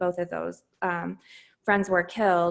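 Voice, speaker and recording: A woman talks at medium pitch in a very clean recording with a silent background. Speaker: podcast host, military spouse. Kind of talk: interview answer. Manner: upbeat, encouraging.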